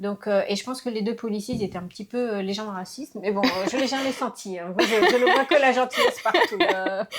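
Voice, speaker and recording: A woman with a fairly high pitch and lively intonation speaks at a fairly quick pace with hardly any pauses, over noticeable background noise. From France (raised from age 6, born in Laos). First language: Lao (speaking French). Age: 50s. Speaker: interviewee mother. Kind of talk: casual interview. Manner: hesitant, many fillers.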